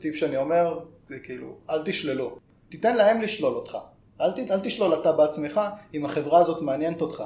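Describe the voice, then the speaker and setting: A man at a fairly quick pace, high-pitched, with ordinary pitch variation and big swings in loudness. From northern Israel (Karmiel). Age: 20s. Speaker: software developer. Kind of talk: podcast interview. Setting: office.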